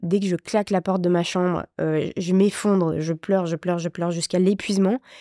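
A woman talks with hardly any pauses in a dark, mellow tone and fairly even intonation. The sound is dry with no echo, over a quiet background. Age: 30s. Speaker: widow sharing her story of caring for her sick husband; interview guest. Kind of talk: testimony. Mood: emotional, reflective about grief. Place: studio. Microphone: studio mic.

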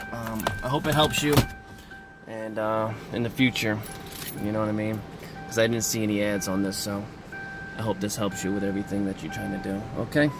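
A man talks at a fairly quick pace over background music, the sound dry and free of echo. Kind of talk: tutorial. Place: car. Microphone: phone near.

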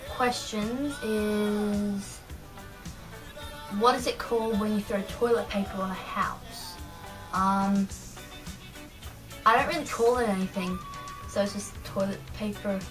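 With an Australian accent, a woman talks at a very slow pace, leaving long, frequent pauses as clear music plays in the background. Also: fairly even intonation. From Australia (New South Wales). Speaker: vlogger. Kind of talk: casual talk to camera. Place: home room. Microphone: webcam.

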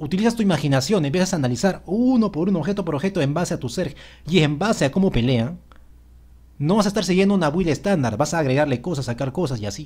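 Here a man speaks at a very fast pace. His pitch is fairly high and his intonation lively. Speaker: gaming youtuber. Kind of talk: game patch notes commentary.

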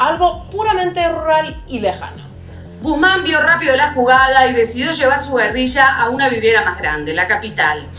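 A woman speaks at a moderate pace in a raised, projected voice. Audible room echo and faint music sit in the background. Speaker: presenter. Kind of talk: explanatory history commentary. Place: home room.

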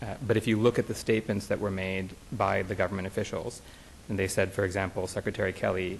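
A fairly low-pitched man's voice in a flat monotone, over light background noise. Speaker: plaintiffs' attorney. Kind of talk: courtroom oral argument. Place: hall. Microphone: podium.

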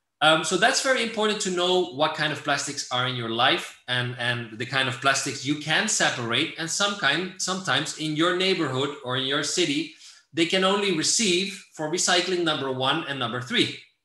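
Talking at a moderate pace with hardly any pauses, a man uses a fairly high pitch and lively intonation against a quiet background with audible room echo. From Netherlands. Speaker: environmental NGO director. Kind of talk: lecture. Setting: video call. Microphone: video call.

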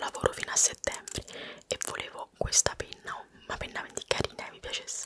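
A woman is whispering. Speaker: ASMR creator. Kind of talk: ASMR whispered show-and-tell. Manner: whispered. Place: home room. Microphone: studio mic.

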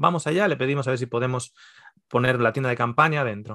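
A man races through his words at a very fast pace against a quiet background. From Spain, Basque Country (Mondragón); Basque Country, Spain. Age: 40s. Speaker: nutritionist and theologian; podcast guest. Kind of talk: casual interview. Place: home room. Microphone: video call.

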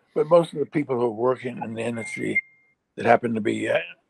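Over a quiet background, a man with a medium pitch talks at a very fast pace, the sound dry and free of echo. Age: old. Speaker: animator and children's media founder; guest. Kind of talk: interview. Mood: earnest, somewhat frustrated. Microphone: video call.

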